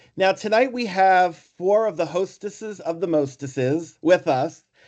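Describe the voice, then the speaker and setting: A man with a New York accent talks with a high pitch for a man and lively intonation. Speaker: foundation board member and clinician. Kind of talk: online meeting.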